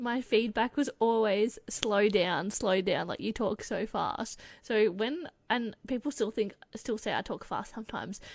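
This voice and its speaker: A woman with an Australian accent speaks at a fairly slow pace in a fairly high, animated voice. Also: ordinary pitch variation. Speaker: podcast co-host. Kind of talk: casual chat.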